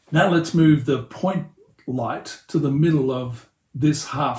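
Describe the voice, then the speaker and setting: In an Australian accent, the somewhat breathy voice keeps a fairly even intonation. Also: man. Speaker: pastor and hobbyist 3D tutorial maker. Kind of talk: tutorial.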